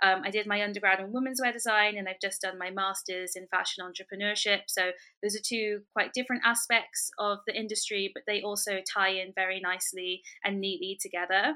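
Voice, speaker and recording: A woman at medium pitch speaks at a fairly quick pace with a bright, sharp tone. Her intonation is fairly even, in a very clean recording with a silent background. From London. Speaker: fashion lecturer and entrepreneur. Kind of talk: interview.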